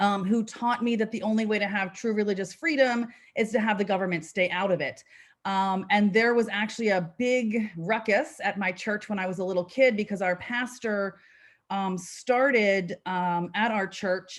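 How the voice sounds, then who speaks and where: A woman with a New Jersey accent, medium pitch and ordinary pitch variation, at a moderate pace. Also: very clean recording, silent background. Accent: New Jersey American. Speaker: policy advocate. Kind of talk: presentation.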